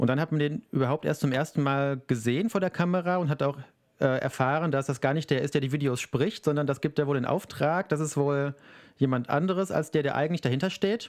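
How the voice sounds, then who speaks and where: Fairly high-pitched, a man talks at a fairly quick pace with ordinary pitch variation and very even loudness. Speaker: podcast co-host and YouTuber. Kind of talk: casual chat. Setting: video call.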